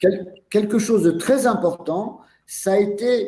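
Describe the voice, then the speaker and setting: Lively intonation and a dark, mellow tone mark a man's high-pitched voice at a very slow pace. Room echo is audible. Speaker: osteopath and teacher. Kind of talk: lecture via interpreter. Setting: webinar video call. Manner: halting.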